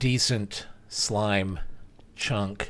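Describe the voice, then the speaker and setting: Noticeable background noise behind a fairly low-pitched male voice. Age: old. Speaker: gaming streamer. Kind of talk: post-production voiceover commentary. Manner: rambling, hesitant with many fillers. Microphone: voiceover without usual OBS filters.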